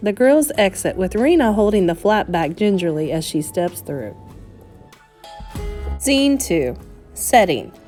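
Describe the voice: Over faint music in the background, a woman at medium pitch speaks in a slightly mellow tone, with big pitch swings and long, frequent pauses. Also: fairly slow pace.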